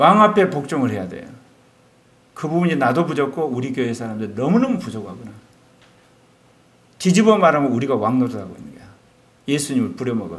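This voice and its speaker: A man speaks very fast in a fairly high voice, with very wide pitch swings, big jumps in loudness and vocal fry. He leaves long, frequent pauses, and the room echo is audible. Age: 60s. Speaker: pastor. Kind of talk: sermon.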